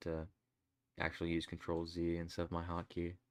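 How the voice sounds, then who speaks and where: A man mumbles quietly at a fairly quick pace in a very deep, low voice, recorded very cleanly with a silent background. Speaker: gamedev streamer. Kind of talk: casual live stream chat. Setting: home desk while drawing. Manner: mumbling. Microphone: desk mic far from face, gain up loud, noise compression.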